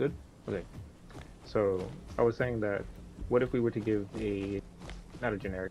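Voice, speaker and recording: A soft-spoken man talks with vocal fry. His pitch sits fairly low, with ordinary variation. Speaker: gaming content creator. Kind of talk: casual chat. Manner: halting. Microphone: cutting out, noise suppression issues.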